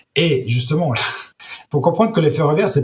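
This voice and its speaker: Lively intonation in a somewhat breathy voice. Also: man. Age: 60s. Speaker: entrepreneur, startup founder. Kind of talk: interview. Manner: halting, many repetitions.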